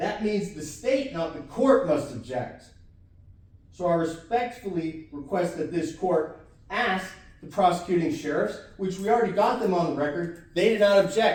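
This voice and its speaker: Audible room echo and noticeable background noise surround the recording. A man speaks at a moderate pace in a high pitch with lively intonation. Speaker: self-represented defendant. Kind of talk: courtroom argument. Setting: courtroom. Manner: animated.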